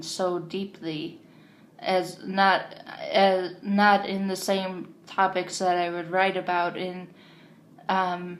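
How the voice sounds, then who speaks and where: A woman's medium-pitched voice with monotone, flat intonation and audible room echo. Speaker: vlogger. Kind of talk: casual vlog monologue. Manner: halting, many fillers.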